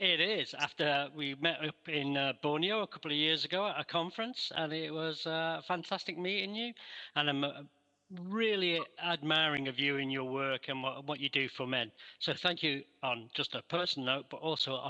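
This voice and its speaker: Speaking with a Mancunian accent, a man has a fairly high pitch and a bright, sharp tone. His pace is moderate, his pitch variation ordinary, and the background quiet. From Manchester, northern England. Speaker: researcher. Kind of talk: interview. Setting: video call.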